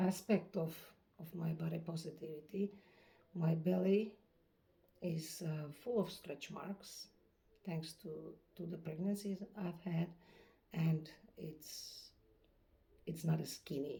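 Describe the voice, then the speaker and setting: A woman with a dark, mellow tone and a somewhat breathy, fairly low voice speaks at a very slow pace, her intonation fairly even, her loudness swinging widely, with long, frequent pauses. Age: 50s. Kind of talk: casual talk to camera.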